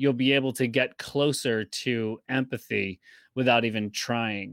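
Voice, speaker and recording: A man with an American accent and an unremarkable speaking voice, at a fairly slow pace with ordinary pitch variation, in a dry, close sound with no echo and a very clean recording with a silent background. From upstate New York. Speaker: video marketing expert. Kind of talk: interview.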